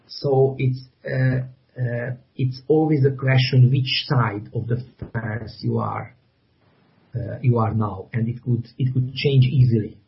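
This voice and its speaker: A man with a Hungarian accent speaks at a medium pitch in a somewhat breathy voice, his intonation monotone and flat. He talks at a fairly slow pace with long, frequent pauses. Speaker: graphic novel author. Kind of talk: interview. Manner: halting, many repetitions and fillers.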